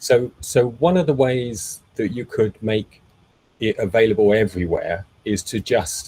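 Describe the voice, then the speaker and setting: A man's somewhat breathy, dark and mellow voice at medium pitch, with ordinary pitch variation and a fairly slow pace. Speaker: meetup host and tech presenter. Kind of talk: technical presentation with Q&A. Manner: frequent fillers and repetitions.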